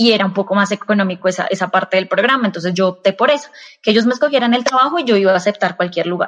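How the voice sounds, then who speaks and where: A woman speaks very fast with very even loudness and ordinary pitch variation. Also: medium pitch for a woman. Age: 30s. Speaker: industrial engineer. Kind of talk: casual interview. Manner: halting, many fillers and repetitions.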